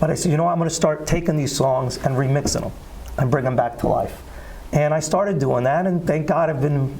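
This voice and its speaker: Over noticeable background noise and audible room echo, a man with a New Jersey accent talks very fast at a fairly high pitch with fairly even intonation. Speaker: singer. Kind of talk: interview. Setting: studio.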